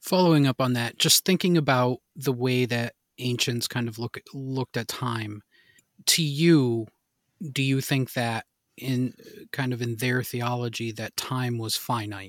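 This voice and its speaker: Speaking at a fairly slow pace, a man uses an ordinary speaking voice with ordinary pitch variation. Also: medium pitch for a man. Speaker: podcast host. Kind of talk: casual interview conversation.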